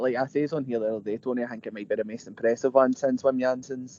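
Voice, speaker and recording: In a Glasgow accent, a man speaks at a medium pitch with a dry, close sound and no echo. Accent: Scottish (Glasgow). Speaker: football podcast co-host. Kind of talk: casual chat.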